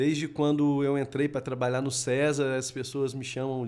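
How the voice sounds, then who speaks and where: Monotone and flat in intonation, a man speaks with a Minas Gerais accent. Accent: keeps his Minas Gerais. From Minas Gerais, Brazil (Varginha). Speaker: robotics educator. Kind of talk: podcast interview. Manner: halting, many fillers.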